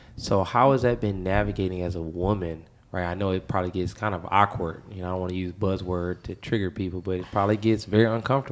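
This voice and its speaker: A man with an American accent talks at a very fast pace with hardly any pauses, his pitch very deep and low and his intonation fairly even. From Flint, Michigan. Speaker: podcast host. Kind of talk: casual interview chat.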